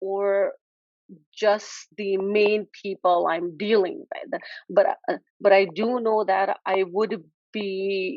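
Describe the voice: Speaking slowly, a woman uses a medium pitch and fairly even intonation in a dry, close sound with no echo.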